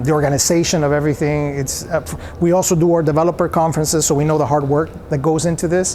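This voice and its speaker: Someone with a Spanish accent speaks at a fairly quick pace with fairly even intonation, amid noticeable background noise and audible room echo. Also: man. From El Salvador. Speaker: software company founder. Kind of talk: interview.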